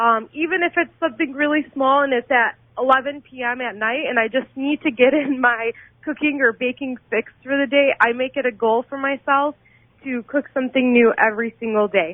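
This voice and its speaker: Here is a high-pitched woman with an American accent. She moves at a fairly quick pace with ordinary pitch variation. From Dearborn, Michigan, US. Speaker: amateur cooking show contestant. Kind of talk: radio interview.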